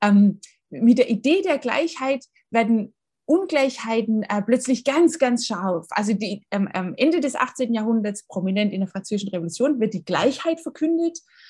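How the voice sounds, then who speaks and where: Her fairly high voice swinging very widely in pitch, a woman speaks. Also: moderate pace. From Baden-Württemberg, near Tübingen. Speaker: history professor. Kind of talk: interview. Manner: hesitant with frequent fillers.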